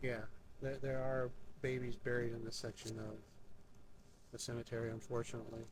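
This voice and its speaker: Somewhat breathy and flat in intonation, a man speaks at medium pitch and a fairly quick pace, broken by long, frequent pauses. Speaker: paranormal investigator. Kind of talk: live ghost hunt narration. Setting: outdoors at a cemetery at night. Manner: halting, many fillers; slightly slurred.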